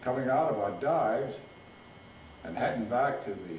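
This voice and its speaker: Noticeable background noise sits behind a soft-spoken man with an American accent talking at a fairly slow pace. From Rhode Island, USA. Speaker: war veteran, naval aviator. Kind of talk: interview answer, war recollection.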